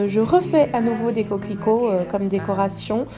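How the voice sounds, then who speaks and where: Music plays in the background behind a woman. Her pitch is fairly high and her intonation fairly even. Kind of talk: voice-over craft video narration. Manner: casual, hesitant.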